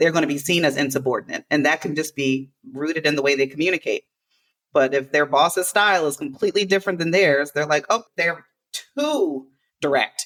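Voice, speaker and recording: An energetic woman with a very deep, low pitch at a fairly quick pace, with ordinary pitch variation. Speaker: podcast host and workplace inclusion consultant. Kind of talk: casual podcast conversation. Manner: fast.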